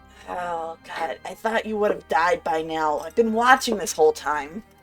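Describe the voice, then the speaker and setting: A woman uses a nasal put-on character voice, fairly low in pitch, at a moderate pace. Faint music plays in the background. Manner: sneering.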